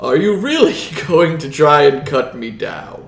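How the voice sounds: A man's put-on character voice, fairly high in pitch, at a moderate pace.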